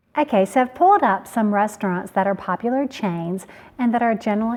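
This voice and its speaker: This woman's voice sits at a fairly high pitch. She talks at a fairly quick pace. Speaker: cooking channel host. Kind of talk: casual tutorial.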